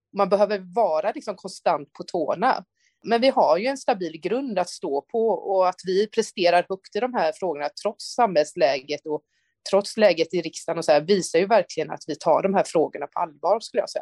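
A woman with a plain, everyday voice speaks at a moderate pace in a medium pitch. Her intonation is lively, and the sound is dry and close with no echo. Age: 30s. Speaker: politician. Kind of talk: interview. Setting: remote link.

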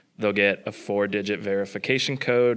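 On a very clean recording with a silent background, a man with an American accent and a normal speaking voice talks at a fairly quick pace and fairly low pitch with fairly even intonation. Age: 20s. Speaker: stand-in podcast host. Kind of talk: casual chat.

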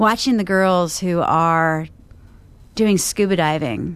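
A woman speaks in a plain, everyday voice, fairly low in pitch with ordinary pitch variation. She talks at a fairly slow pace against a quiet background. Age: 40s. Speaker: marketing agency owner. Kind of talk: rant. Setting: industry conference.

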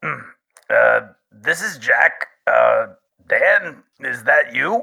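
Putting on a character voice, a man speaks at an extremely high pitch with a raspy sound.

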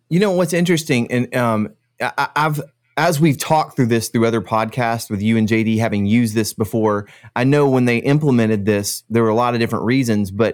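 At a very fast pace, a man talks with medium pitch and very even loudness. The recording is very clean, with a silent background. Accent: American. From Central Florida. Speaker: podcast host. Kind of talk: casual chat.

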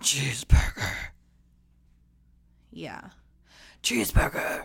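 A raspy, growling put-on character voice at a fairly slow pace

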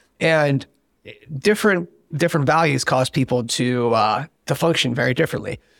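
Pitched fairly high, a man with a plain, everyday voice talks at a moderate pace with ordinary pitch variation and very even loudness. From US, military family, moved among eight states. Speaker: startup CEO. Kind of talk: casual interview.

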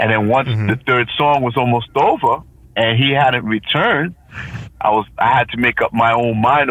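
A man talks with an American accent at a fairly quick pace in a normal speaking voice. His pitch is medium with ordinary variation, and his loudness stays very even. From Providence, Rhode Island, US. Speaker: DJ. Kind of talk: interview.

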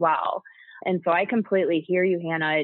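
At a fairly quick pace, a woman talks in a plain, everyday voice with a fairly low pitch. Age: 30s. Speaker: podcast co-host. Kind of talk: podcast interview.

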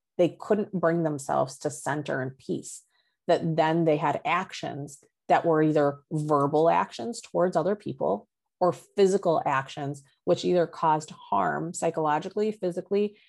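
With a quiet background, a woman talks at a moderate pace in a fairly low pitch. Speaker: social and emotional learning expert. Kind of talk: casual interview chat. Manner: authoritative.

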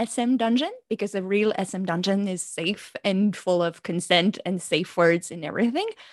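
Someone with a French accent speaks at a fairly slow pace, the sound dry and close with no echo. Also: woman. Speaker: pleasure coach and doctor. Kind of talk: interview, podcast conversation. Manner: stressed, halting English.

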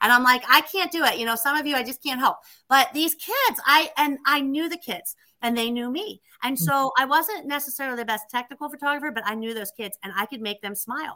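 A woman with a bright, sharp tone and a high pitch talks at a fairly quick pace in a raised, projected voice, her lively intonation paired with big swings in loudness. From western Pennsylvania. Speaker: tree service franchise owner. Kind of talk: interview.

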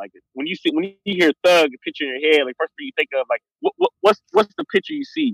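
With an unremarkable speaking voice, a man talks at a fairly quick pace with lively intonation, the sound dry and close with no echo. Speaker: guest. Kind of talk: casual chat.

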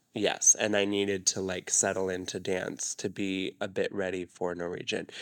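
At a moderate pace, a man with a normal speaking voice and a fairly low pitch is heard on a very clean recording with a silent background. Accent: American. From Arizona. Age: 20s. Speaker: dancer and choreographer. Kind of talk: casual chat.

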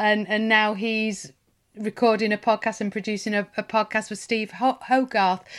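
A woman's fairly high, monotone voice in a Lancashire accent at a moderate pace, in a very clean recording with a silent background. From northern England (Lancashire). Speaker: podcast host. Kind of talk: casual interview chat.

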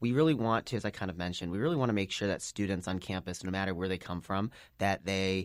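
A man with a very deep, low pitch and an American accent, very fast pace, ordinary pitch variation, and a very clean recording over a silent background. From Chicago. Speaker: student government candidate. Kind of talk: interview.

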